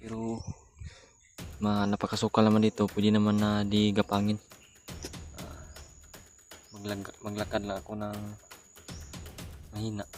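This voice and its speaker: Quiet and fairly low-pitched, a man speaks in a flat monotone with long, frequent pauses and big swings in loudness while music plays in the background. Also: moderate pace. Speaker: outdoor adventure vlogger. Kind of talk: live vlog narration. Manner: hushed, quiet voice.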